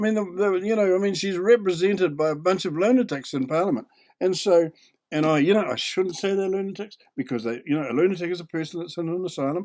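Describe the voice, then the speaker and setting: Talking at a very fast pace, a man has a high pitch and a New Zealand accent. His pitch varies an ordinary amount. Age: 80s+. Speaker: video commentator. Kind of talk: video commentary. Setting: home desk, recorded on computer.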